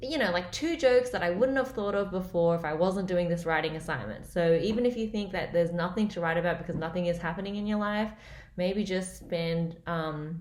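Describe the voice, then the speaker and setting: A woman with an Australian accent talks at a fairly quick pace in a fairly low pitch. Audible echo fills the room. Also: ordinary pitch variation. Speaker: comedian. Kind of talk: casual vlog update.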